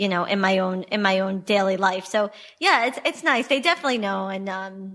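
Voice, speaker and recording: In a very clean recording with a silent background, a woman with a New York accent speaks at a fairly quick pace, medium in pitch with ordinary pitch variation. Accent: New York American. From New York, US. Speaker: travel company founder. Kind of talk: interview conversation.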